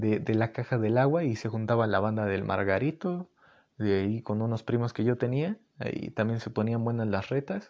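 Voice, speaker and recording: A man with a Mexican accent at medium pitch, ordinary pitch variation, moderate pace and a quiet background. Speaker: podcast host. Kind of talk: casual monologue. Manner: animated.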